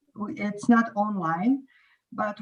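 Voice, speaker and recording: At a very slow pace, a somewhat breathy voice speaks. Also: woman. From Croatia. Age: 40s. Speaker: English teacher. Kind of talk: casual chat.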